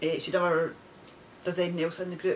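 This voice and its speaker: A woman speaks in a Scottish accent. Noticeable background noise is present. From Scotland. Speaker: knitting podcaster. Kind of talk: casual video podcast chat. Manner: rambling, conversational with many fillers.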